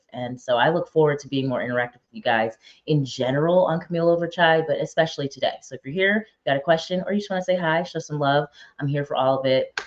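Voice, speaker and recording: The speaker races along at a very fast pace with an American accent. Pitch varies in an ordinary way. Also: woman, very deep, low pitch for a woman. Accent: New York, slight, comes out now and again. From upstate New York, Albany suburb. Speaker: live show host. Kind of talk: casual talk to live viewers. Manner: direct.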